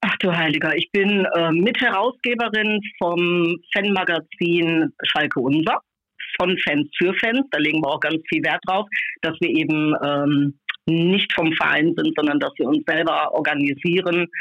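A woman with a plain, everyday voice and a fairly low pitch speaks fairly slowly, keeping a very even loudness and ordinary pitch variation. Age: 50s. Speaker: football fan magazine co-publisher. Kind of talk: casual chat. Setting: phone call.

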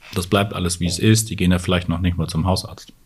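A man speaks in a very deep, low pitch, somewhat breathy, with fairly even intonation. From northern Germany. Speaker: urologist. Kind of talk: interview.

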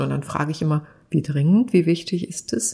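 A woman speaks at a moderate pace in a fairly low, dark, mellow tone. Her voice is somewhat breathy, with ordinary pitch variation. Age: 50s. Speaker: content creator and TV expert. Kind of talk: casual chat. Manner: animated.

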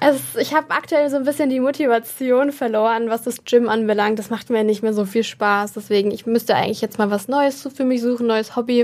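A woman's plain, everyday voice, fairly high in pitch and fairly even in intonation, fairly quick with hardly any pauses. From Germany, Würzburg (Lower Franconia). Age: 20s. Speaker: content creator and model. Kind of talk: casual interview chat.

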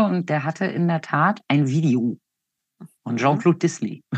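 Against a quiet background, a woman speaks at a moderate pace in a very deep, low-pitched voice. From northern Germany, Hanover area. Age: 50s. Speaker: western riding judge and trainer. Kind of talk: interview. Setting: video call.

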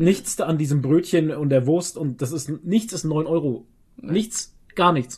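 This man's pitch sits fairly high. He talks at a very slow pace with ordinary pitch variation. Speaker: podcast co-host. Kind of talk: casual chat.

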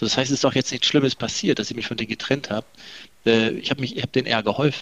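Recorded with a dry, close sound and no echo, a man speaks at medium pitch with ordinary pitch variation. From northern Germany, Delmenhorst. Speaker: company managing director. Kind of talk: interview. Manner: hesitant, many fillers and repetitions.

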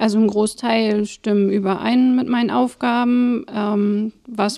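Noticeable background noise accompanies a woman's fairly high voice, which keeps a fairly even intonation. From northern Germany, Schwarzenbek. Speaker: family-support project coordinator. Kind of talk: casual interview.

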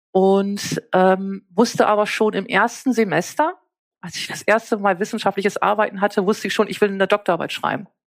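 Using an ordinary speaking voice, a woman talks at a fairly quick pace and medium pitch with fairly even intonation. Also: big swings in loudness. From northern Germany (East Frisia). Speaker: nursing science professor. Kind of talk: interview.

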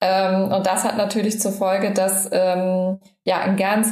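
Somewhat breathy and medium in pitch, a woman's voice is heard. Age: 30s. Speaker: health influencer and micronutrient therapy student. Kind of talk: interview, personal health story. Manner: frequent filler sounds (ähm, äh).

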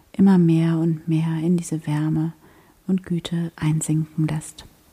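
A woman with a fairly low pitch speaks at a fairly slow pace in a somewhat breathy, dark, mellow, soothing, gentle tone and a monotone, flat intonation. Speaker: meditation guide and podcast host. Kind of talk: guided meditation, spoken prayer-like, addressing listener as 'du' with long calm pauses. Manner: slow, soft-spoken, soothing and gentle, with unhurried pacing; warm, devout, intimate tone.

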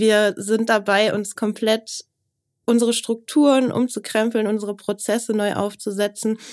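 A woman talks at a fairly high pitch. Her intonation is monotone and flat. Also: fairly slow pace. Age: 30s. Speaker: business journalist. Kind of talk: interview.

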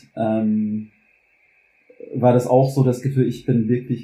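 The voice is somewhat breathy with a dark, mellow tone, moving at a fairly slow pace with fairly even intonation. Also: man. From US South, Louisiana. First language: English (speaking German). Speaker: German teacher. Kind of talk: personal testimony in a podcast interview. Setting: kitchen at home. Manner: halting, many fillers and repetitions.

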